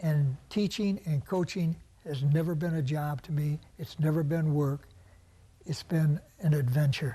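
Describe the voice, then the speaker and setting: A man's fairly high voice, dark and mellow in tone and somewhat breathy, at a fairly slow pace with fairly even intonation. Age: 80s+. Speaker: retired coach and substitute teacher. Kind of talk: TV interview. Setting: studio.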